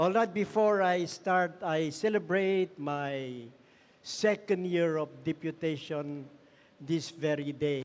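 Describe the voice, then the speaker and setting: A man's very slow delivery, fairly high in pitch, with ordinary pitch movement, on a very clean recording over a silent background. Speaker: missionary. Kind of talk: sermon. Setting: church. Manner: soft-spoken.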